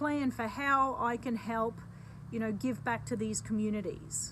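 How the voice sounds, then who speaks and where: Speaking in an Australian accent, a woman keeps her intonation lively. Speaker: charity board member and business executive. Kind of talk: video self-introduction. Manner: hesitant fillers.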